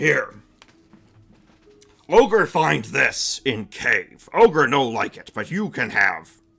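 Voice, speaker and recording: A man's raspy, fairly high-pitched put-on character voice at a very slow pace, with long, frequent pauses and faint music in the background. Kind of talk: broken, simple speech.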